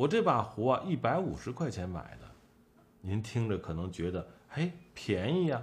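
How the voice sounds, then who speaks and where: At a moderate pace, a man of medium pitch talks with vocal fry and very wide pitch swings. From Shandong, Tai'an. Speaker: collectibles commentator. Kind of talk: casual monologue.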